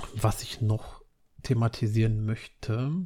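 The speaker is a man with a somewhat breathy voice. His tone is dark and mellow. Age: 30s. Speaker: podcaster. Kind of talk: casual monologue.

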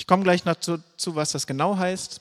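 A man's high-pitched voice sits in a very clean recording against a silent background. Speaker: preacher. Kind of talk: sermon. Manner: casual.

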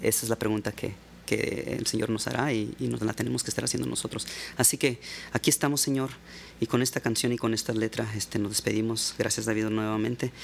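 A man rattles along very quickly at a mid-range pitch, his pitch varying by a normal amount. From Mexico, Baja California (Ensenada). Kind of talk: interview conversation. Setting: studio.

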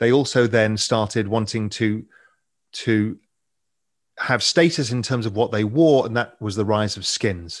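A man with an English accent at a fairly slow pace, with ordinary pitch variation and long, frequent pauses, against a quiet background. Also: medium pitch for a man. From England. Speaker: financial media founder and investor. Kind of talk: interview conversation.

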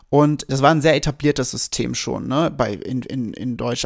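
A man speaks in an animated tone at a medium pitch, captured in a very clean recording with a silent background. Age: 30s. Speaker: podcast host, business coach. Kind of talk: casual monologue, storytelling.

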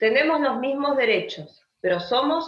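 Her pitch shifts in an ordinary manner. The woman keeps to a moderate pace. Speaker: writer and teacher. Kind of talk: interview conversation.

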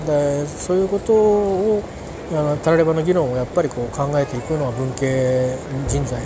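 With audible room echo and noticeable background noise, a man speaks at a fairly high pitch and moderate pace with ordinary pitch variation. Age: 50s. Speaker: podcaster. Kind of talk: casual monologue. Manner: halting, many fillers.

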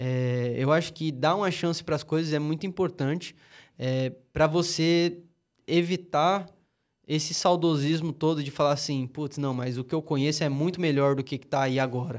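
In a very clean recording with a silent background, a man speaks at a moderate pace in an ordinary speaking voice. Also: fairly high pitch for a man. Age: 20s. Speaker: podcast co-host. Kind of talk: casual chat.

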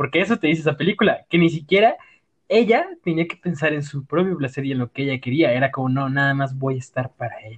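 A man with a Mexican accent talks at a very fast pace in a fairly high pitch. His voice is somewhat breathy. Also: ordinary pitch variation. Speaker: podcast co-host. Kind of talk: casual chat. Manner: animated.

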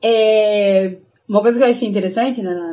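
This woman's voice sits at a medium pitch. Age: 20s. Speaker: podcast co-host. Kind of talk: casual chat.

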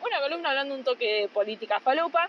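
Noticeable background noise sits behind a woman's voice. She speaks in a high pitch with lively intonation. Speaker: podcast co-host. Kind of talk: casual chat. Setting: on the beach, phone recorder.

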